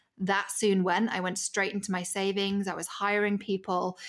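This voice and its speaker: A woman's medium-pitched voice with a British accent at a fairly quick pace. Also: very clean recording, silent background. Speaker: media strategist. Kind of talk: casual chat.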